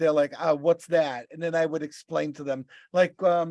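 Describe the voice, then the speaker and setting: With a Boston accent, a man speaks at a high pitch with fairly even intonation in a dry, close sound with no echo. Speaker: podcast co-host and rideshare driver. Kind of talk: casual chat. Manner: halting.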